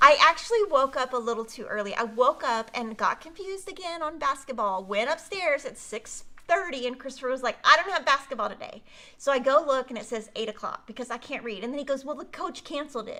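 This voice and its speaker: A woman speaks in a raised, projected voice at a very fast pace, with a high pitch and a bright, sharp tone. Her intonation is lively and her loudness swings widely. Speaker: quilting show host. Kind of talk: live stream product showcase. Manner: casual, chatty.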